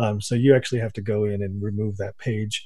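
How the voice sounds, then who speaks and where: Fairly low in pitch, a man talks at a fairly quick pace with a dark, mellow tone and a somewhat breathy quality. His intonation stays monotone and flat. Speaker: radio co-host. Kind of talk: casual chat about SEO news, radio show.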